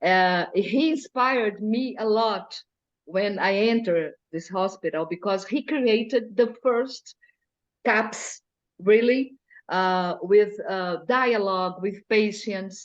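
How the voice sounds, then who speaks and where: A woman speaks in a Brazilian Portuguese accent at a very slow pace. Her pitch moves with ordinary variation. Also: medium pitch for a woman. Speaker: mental health carnival group organizer. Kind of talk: Q&A talk. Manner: halting.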